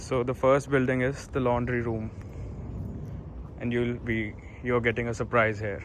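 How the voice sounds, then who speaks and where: Against noticeable background noise, a man with an Indian accent talks at a moderate pace. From India, Delhi. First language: Hindi. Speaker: student vlogger. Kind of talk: vlog tour. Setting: outdoors. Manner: casual.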